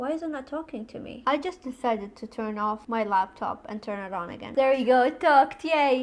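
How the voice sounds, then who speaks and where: A woman with a non-native accent talks at a moderate pace in a high voice with lively intonation. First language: not English. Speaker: blind lifestyle YouTuber. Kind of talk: tutorial. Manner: casual and chatty.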